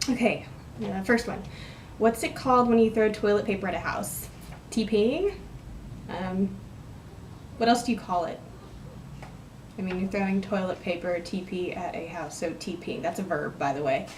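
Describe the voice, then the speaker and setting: Speaking at a moderate pace with an American accent, a woman uses medium pitch and ordinary pitch variation, pausing long and often amid noticeable background noise and audible room echo. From West Texas. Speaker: vlogger. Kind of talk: casual vlog, word list and questions. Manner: rambling and casual, with hesitations.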